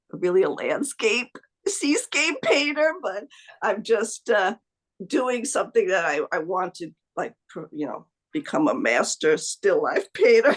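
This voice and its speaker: The speaker talks at a fairly slow pace. There is a slight New Jersey accent. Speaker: amateur painter, online course member. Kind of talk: casual interview chat. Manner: halting, many fillers and restarts.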